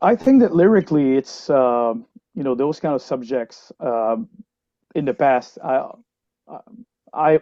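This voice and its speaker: The man's pitch is medium, with ordinary variation. He talks at a fairly slow pace. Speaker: metal band lyricist and musician. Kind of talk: interview. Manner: halting, many fillers.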